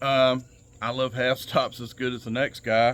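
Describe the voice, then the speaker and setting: With a Southern US accent, a man speaks at a fairly slow pace. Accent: Southern twang. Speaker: knife enthusiast YouTuber. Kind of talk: casual show-and-tell tutorial. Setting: outdoors on back patio. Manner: casual, hesitant with many fillers.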